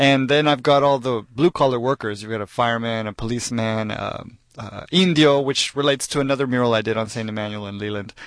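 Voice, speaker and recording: With an American accent and a medium pitch, a man talks at a very fast pace with hardly any pauses, ordinary pitch variation and big swings in loudness over a quiet background. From Texas. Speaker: muralist and street artist. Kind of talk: radio interview. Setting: radio studio.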